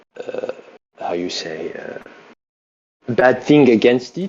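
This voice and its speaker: A man speaks with a French accent. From France. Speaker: caller. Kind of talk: heated debate. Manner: halting.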